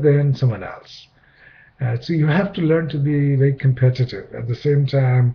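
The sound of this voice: At a moderate pace, a man speaks with a slightly husky edge.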